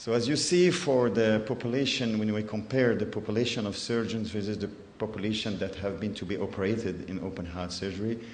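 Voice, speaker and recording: Noticeable background noise and audible room echo surround a man with a fairly low pitch. He talks at a fairly quick pace with ordinary pitch variation. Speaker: cardiac surgeon. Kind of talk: conference presentation. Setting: conference in Ghana. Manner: halting, many hesitations.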